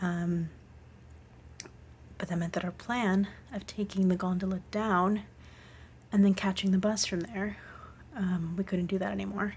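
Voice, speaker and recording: A woman's somewhat breathy, medium-pitched voice at a moderate pace, with fairly even intonation and long, frequent pauses. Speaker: hiking vlogger. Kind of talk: casual vlog diary.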